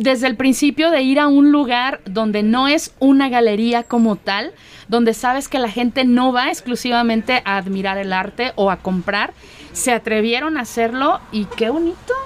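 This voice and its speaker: Over noticeable background noise, a woman speaks at a moderate pace with a high pitch and ordinary pitch variation. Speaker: radio host. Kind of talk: casual chat.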